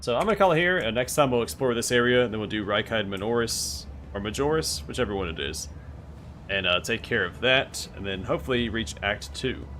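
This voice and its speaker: Talking at a fairly quick pace, a man with a fairly low pitch and a bright, sharp tone swings his pitch very widely, with vocal fry. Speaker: game streamer. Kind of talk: live gameplay stream chat. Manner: fast.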